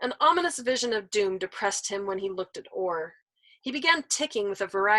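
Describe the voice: Someone reads aloud plainly. Behind the voice, things stay quiet.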